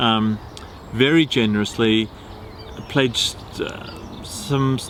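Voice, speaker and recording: A man speaks very slowly at a medium pitch, with fairly even intonation. Noticeable background noise is present. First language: not English. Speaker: vlogger. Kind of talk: casual vlog narration. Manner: halting.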